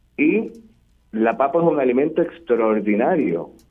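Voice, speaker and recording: The man's pace is fairly slow. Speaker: agriculture expert. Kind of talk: interview. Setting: remote call. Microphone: echo on the line.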